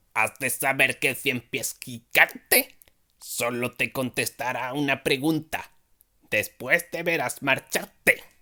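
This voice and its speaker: Using a put-on character voice, a man speaks at a fairly slow pace and medium pitch. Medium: read story.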